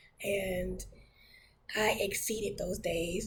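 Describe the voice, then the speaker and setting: A somewhat breathy woman's voice with fairly even intonation and audible room echo. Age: 30s. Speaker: church minister sharing testimony. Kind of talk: testimony. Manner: hesitant, many fillers.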